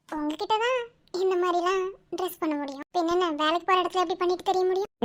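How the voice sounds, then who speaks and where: In a cartoonish character voice, a woman speaks at an extremely high pitch and a fairly quick pace with fairly even intonation. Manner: warm, familiar, soft-spoken.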